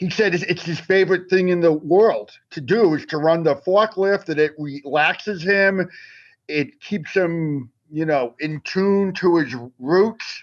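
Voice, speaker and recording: In a Boston accent, a man speaks at a fairly slow pace with a high pitch. His pitch variation is ordinary, and the background is quiet. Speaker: magazine writer. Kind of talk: casual chat.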